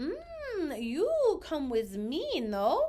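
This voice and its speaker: This woman is doing a put-on character voice. She pitches it extremely high. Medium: read story.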